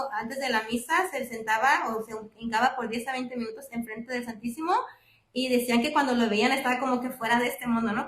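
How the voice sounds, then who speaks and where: Very fast speech from a woman, high in pitch, with fairly even intonation. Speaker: lay speaker at parish faith talk. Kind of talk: religious reflection talk. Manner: halting with fillers.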